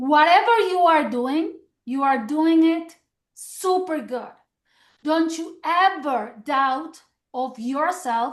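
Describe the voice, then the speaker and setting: A woman with a Mexican accent speaks at a very slow pace with ordinary pitch variation. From Mexico. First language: Spanish. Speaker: direct sales executive. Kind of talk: motivational business training. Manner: warm, encouraging.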